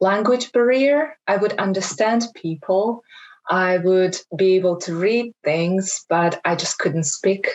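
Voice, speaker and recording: Very slow in pace, a woman speaks at a medium pitch with lively intonation. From Kazakhstan. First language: Kazakh and Russian. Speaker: webinar panelist. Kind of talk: panel discussion.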